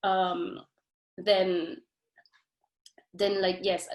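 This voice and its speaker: A woman talks at a medium pitch. She has a non-native accent. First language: not English. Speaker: doctoral student. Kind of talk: academic webinar discussion. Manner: halting, many repetitions and fillers.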